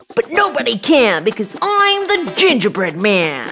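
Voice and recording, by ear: In a cartoonish character voice, a woman speaks at a fairly high pitch with very wide pitch swings and a bright, sharp tone. Her pace is fairly slow, and faint music plays in the background.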